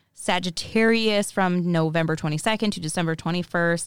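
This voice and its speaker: A woman with an ordinary speaking voice talks at a fairly low pitch and a fairly slow pace, with ordinary pitch variation. The recording is very clean, dry and close, with no echo and a silent background. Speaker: podcast host. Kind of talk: casual banter podcast chat. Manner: playful, joking.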